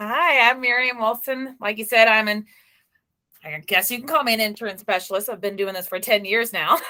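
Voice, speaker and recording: A woman speaks at a fairly quick pace with a fairly high pitch and a bright, sharp tone. Her pitch varies normally while her loudness swings widely. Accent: American. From US South, Memphis, Tennessee. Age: young. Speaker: insurance broker. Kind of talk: interview.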